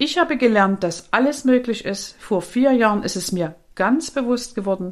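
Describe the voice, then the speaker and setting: A woman's normal speaking voice with lively intonation at a moderate pace, on a very clean recording with a silent background. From Saxony, eastern Germany. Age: 50s. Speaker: life coach and podcast host. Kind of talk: personal life story monologue.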